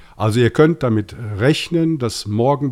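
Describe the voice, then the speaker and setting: With a slight Rhineland accent, a man talks at a fairly slow pace and ordinary pitch variation. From Rhineland, Germany (Bonn). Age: 50s. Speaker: podcast host, IT project manager. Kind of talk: casual chat.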